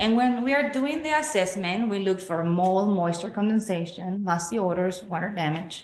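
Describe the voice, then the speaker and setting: Speaking with a Spanish accent, a woman at medium pitch uses lively intonation and a moderate pace with hardly any pauses. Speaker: public health educator. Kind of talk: community presentation. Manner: hesitant, many fillers.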